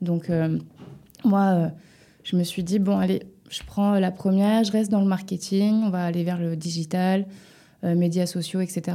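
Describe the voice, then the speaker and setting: In a dark, mellow tone, the speaker talks at a fairly slow pace with monotone, flat intonation and long, frequent pauses. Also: woman, medium pitch for a woman. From western France, near Nantes (Loire-Atlantique). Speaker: music publisher. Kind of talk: interview.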